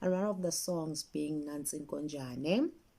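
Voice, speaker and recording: With a South African accent, a woman speaks at a fairly slow pace in a very deep, low pitch and a dark, mellow tone. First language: isiZulu. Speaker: children's author and story collector. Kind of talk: interview talk about her work.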